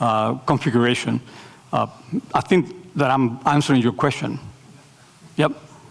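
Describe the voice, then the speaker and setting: In a Spanish accent, the speaker talks at a moderate pace with vocal fry, very even loudness, and long, frequent pauses. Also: man, medium pitch for a man, ordinary pitch variation. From Nicaragua. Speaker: architecture professor. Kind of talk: lecture Q&A. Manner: hesitant, many fillers.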